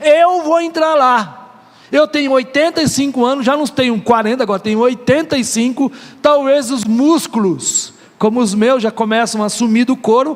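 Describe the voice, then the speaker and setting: The speaker's tone is animated, with ordinary pitch variation and a moderate pace. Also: man, extremely high pitch for a man. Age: 50s. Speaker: pastor. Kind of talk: sermon.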